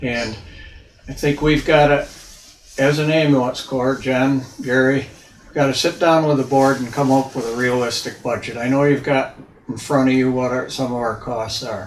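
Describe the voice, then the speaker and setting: A man's medium-pitched voice at a moderate pace, fairly even in intonation, over noticeable background noise. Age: 80s+. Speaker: volunteer ambulance EMT speaking at public hearing. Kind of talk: public hearing comment.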